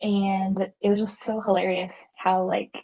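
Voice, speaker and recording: A woman with a medium-pitched, somewhat breathy voice speaks in a flat monotone. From US South. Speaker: guest on podcast. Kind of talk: casual chat.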